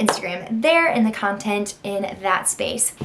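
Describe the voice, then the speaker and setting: A woman with an American accent talks at a fairly slow pace, in an animated tone with lively intonation. Room echo is audible. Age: 20s. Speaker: content creator. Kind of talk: casual vlog intro.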